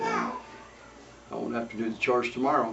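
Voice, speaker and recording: Over noticeable background noise and audible room echo, a man with a Utah accent speaks at a medium pitch in a monotone, flat intonation. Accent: rural Utah American. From Utah, Cache Valley. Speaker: family elder telling his life story. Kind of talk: oral history interview. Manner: halting. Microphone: poor recording quality.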